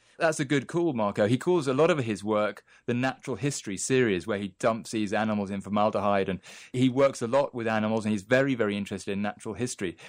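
Speaking very fast, a man talks in a British accent. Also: medium pitch for a man, ordinary pitch variation, very clean recording, silent background. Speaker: arts journalist. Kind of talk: news interview.

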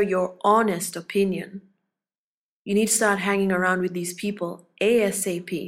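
Fairly even in intonation, a woman of medium pitch uses an unremarkable speaking voice. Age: 30s. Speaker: coach. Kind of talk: motivational talk. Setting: podcast.

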